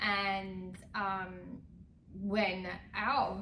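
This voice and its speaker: A woman at a medium pitch is heard with audible room echo and noticeable background noise. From London, England. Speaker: real estate agent. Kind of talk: casual conversational explainer.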